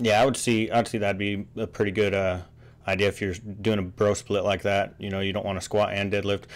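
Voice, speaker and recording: Speaking at a fairly quick pace, a man keeps a fairly low pitch and a monotone, flat intonation. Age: 30s. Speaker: podcast host. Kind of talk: casual chat. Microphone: video call.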